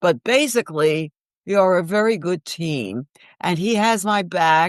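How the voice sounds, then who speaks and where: In a New York accent, a woman speaks at a fairly slow pace with lively intonation and a fairly low pitch. The background is quiet and the sound is dry and close with no echo. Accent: Bronx New York. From New York, the Bronx. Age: 80s+. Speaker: actress and author. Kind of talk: interview.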